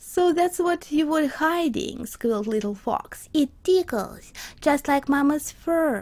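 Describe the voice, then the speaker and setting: At a very slow pace, a woman with a non-native accent speaks at a high pitch, with lively intonation and very even loudness. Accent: non-native, imperfect pronunciation. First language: not English. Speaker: storyteller and illustrator. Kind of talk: reading aloud a children's story.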